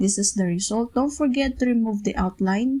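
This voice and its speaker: A woman's somewhat breathy, fairly high voice with ordinary pitch variation. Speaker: PowerPoint tutorial creator. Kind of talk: software tutorial narration. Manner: casual, step-by-step.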